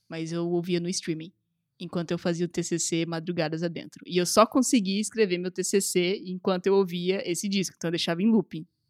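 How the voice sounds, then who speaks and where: Intonation is fairly even, at a moderate pace. The sound is dry and close, with no echo. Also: man, high pitch for a man. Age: 20s. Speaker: podcast host. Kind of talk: casual chat.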